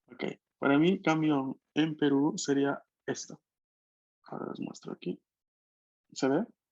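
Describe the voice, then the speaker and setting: In a dry, close recording with no echo, a man with a fairly high voice talks at a fairly slow pace, using ordinary pitch variation and long, frequent pauses. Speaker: language teacher. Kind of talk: online language class.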